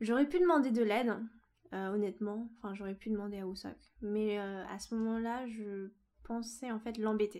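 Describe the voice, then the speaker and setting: A woman with a fairly high pitch and a dark, mellow tone talks at a moderate pace with ordinary pitch variation. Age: 20s. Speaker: podcast guest, expatriate. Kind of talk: casual interview. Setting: in person at host's home.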